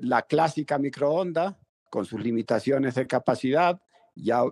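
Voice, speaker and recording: An unremarkable speaking voice from a man, fairly slow in pace with lively intonation. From Venezuela (rural Mérida). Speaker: telecom company founder. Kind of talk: interview.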